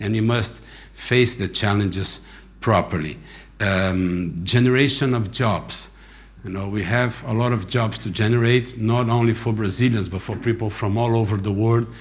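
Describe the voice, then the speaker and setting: A fairly low-pitched man speaks at a fairly slow pace, somewhat breathy, with ordinary pitch variation. The room adds audible echo. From Brazil. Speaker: aviation industry association president. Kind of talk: conference speech.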